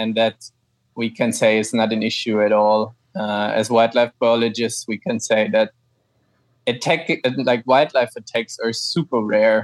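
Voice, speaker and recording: A fairly even intonation with a German accent, in a dry, close sound with no echo, on a very clean recording with a silent background. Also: man, medium pitch for a man, fairly slow pace. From Germany, Frankfurt. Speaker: ecologist and cycle tourer. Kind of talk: interview.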